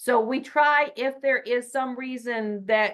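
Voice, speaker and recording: A woman with an unremarkable speaking voice talks at a fairly high pitch with ordinary pitch variation. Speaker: state education data presenter. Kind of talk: training webinar presentation.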